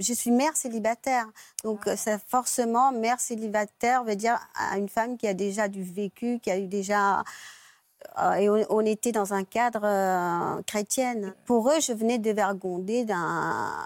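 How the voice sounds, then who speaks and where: In an ordinary speaking voice, a woman with a fairly high pitch talks at a fairly slow pace with fairly even intonation, in a very clean recording with a silent background and a dry, close sound with no echo. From Mauritius. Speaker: guest sharing her love story. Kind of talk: talk show testimony.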